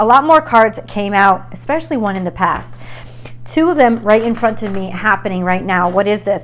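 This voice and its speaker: Speaking at a moderate pace is a woman. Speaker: tarot reader. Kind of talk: tarot reading monologue. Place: home room. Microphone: lapel.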